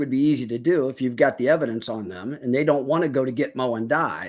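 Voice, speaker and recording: A man speaks in a plain, everyday voice. His intonation is lively. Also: very clean recording, silent background. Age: 60s. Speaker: political commentator. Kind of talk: casual political discussion.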